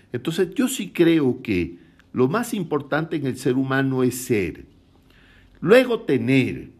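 On a very clean recording with a silent background, a man with a coastal Ecuadorian accent speaks very slowly in a fairly high voice with vocal fry and very wide pitch swings. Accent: coastal Ecuadorian, light s and soft r. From Ecuador, Guayaquil (coast). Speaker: author. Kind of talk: casual chat.

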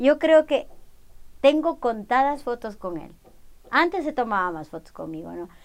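A woman speaks fairly slowly at a high pitch, with very wide pitch swings, big swings in loudness, and long, frequent pauses. The recording is very clean, with a silent background. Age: 40s. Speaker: mother of the other guest. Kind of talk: casual chat.

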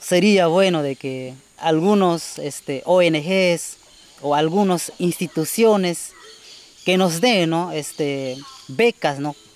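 A man speaks at a high pitch. He has a Peruvian Amazon accent. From Peruvian Amazon, Shipibo community. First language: Shipibo-Konibo (speaking Spanish). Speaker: community forest patroller. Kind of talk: interview testimony. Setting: outdoors in the forest.

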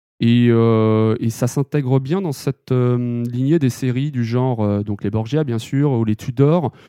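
The man has an unremarkable speaking voice with ordinary pitch variation. The sound is dry and close, with no echo. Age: 30s. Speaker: manga magazine editor-in-chief. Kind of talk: interview.

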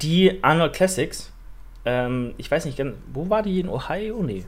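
Intonation from this man is lively. He talks at a very slow pace. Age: 20s. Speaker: fitness podcast host. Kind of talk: casual chat.

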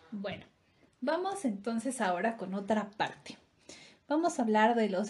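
Here is a woman with a plain, everyday voice. She talks at a fairly slow pace, fairly high in pitch, with ordinary pitch variation. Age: 30s. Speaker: podcast co-host. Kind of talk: casual chat.

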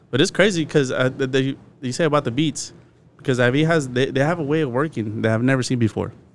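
Talking at a very fast pace, a man has an American accent. His pitch variation is ordinary. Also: medium pitch for a man. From Arizona, Phoenix area. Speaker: podcast host. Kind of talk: casual chat.

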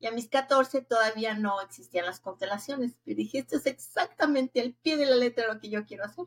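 A high-pitched woman with a Mexico City accent, talking at a fairly quick pace with hardly any pauses, ordinary pitch variation, and a dry, close sound with no echo. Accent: Mexican Spanish (Mexico City). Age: 60s. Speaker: family constellation therapist. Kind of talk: interview.

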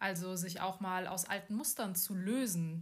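A somewhat breathy woman's voice at a medium pitch, with ordinary pitch variation and a moderate pace. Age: 40s. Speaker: podcast host, bank employee and coach. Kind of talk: casual chat. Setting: abroad on Koh Samui.

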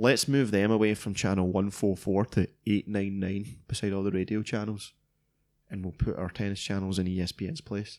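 A fairly low-pitched man with a Scottish accent, at a fairly slow pace and with fairly even intonation, on a very clean recording with a silent background. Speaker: tech podcast co-host. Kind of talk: casual chat.

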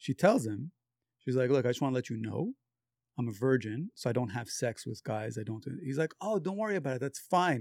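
With a plain, everyday voice, a man speaks at a fairly quick pace and with lively intonation, recorded very cleanly and dry, close up with no echo and a silent background. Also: medium pitch for a man. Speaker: friend of the guest. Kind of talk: casual chat.

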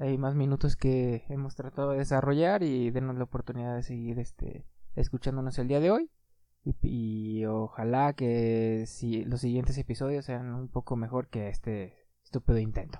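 Over a quiet background, a man speaks with a dark, mellow tone and fairly even intonation. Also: medium pitch for a man, moderate pace. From Mexico, Aguascalientes. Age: 30s. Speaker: podcast host. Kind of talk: casual chat.

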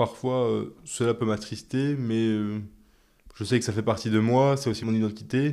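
The voice has a dark, mellow tone and a moderate pace with fairly even intonation, on a very clean recording with a silent background. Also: man. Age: 20s. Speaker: patient with chronic illness. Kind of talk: testimony. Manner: hesitant, with frequent fillers.

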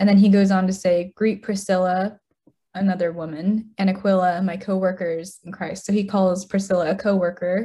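A woman with an American accent has a dark, mellow tone and a somewhat breathy sound. Her intonation stays monotone and flat. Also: medium pitch for a woman, moderate pace. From Utah, US. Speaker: guest on faith podcast. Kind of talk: casual chat.

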